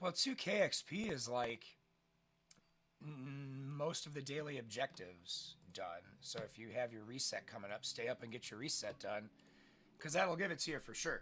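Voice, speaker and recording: A man speaks at fairly high pitch with a bright, sharp tone and vocal fry. His loudness swings widely at a moderate pace. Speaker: gaming streamer. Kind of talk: let's play commentary. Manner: casual, chatty.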